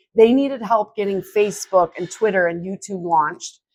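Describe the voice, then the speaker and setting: A woman with a strong Wisconsin accent speaks at a moderate pace in a medium pitch with ordinary pitch variation. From Wisconsin (New Auburn). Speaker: social media consultant, business owner. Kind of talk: interview conversation. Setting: conference hotel.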